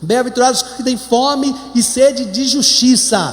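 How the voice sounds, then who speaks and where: A man with a Brazilian accent is heard with audible room echo and noticeable background noise. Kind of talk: sermon. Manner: slow.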